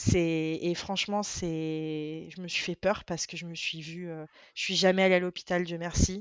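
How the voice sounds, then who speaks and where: Her voice is fairly low, and she speaks fairly slowly in a monotone, flat intonation. The woman's loudness swings widely. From France, Venezuelan family. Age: 30s. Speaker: social media creator on diabetes. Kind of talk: interview. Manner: hesitant, many fillers.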